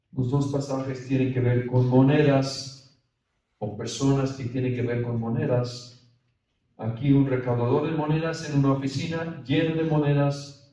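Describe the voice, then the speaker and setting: With audible room echo, a man speaks fairly slowly at a medium pitch in a monotone, flat intonation. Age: 60s. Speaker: priest leading a spiritual retreat. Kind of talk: retreat meditation talk. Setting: retreat for priests.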